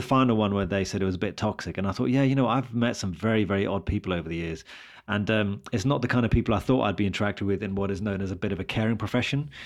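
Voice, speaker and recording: Speaking very fast at a fairly low pitch, a man with a British accent shows ordinary pitch variation against a quiet background. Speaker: radiologist and podcast host. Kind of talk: casual chat.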